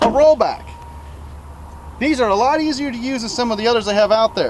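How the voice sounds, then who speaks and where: Over noticeable background noise, a man with an extremely high pitch talks at a fairly quick pace with ordinary pitch variation. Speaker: student giving a class speech, repo man. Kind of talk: demonstration tutorial. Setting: in and around a tow truck.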